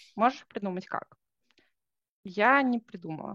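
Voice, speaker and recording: Against a quiet background, a woman speaks fairly slowly at a medium pitch with ordinary variation, the sound dry and close with no echo. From Russia, Saint Petersburg. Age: 20s. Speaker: junior software developer. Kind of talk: interview.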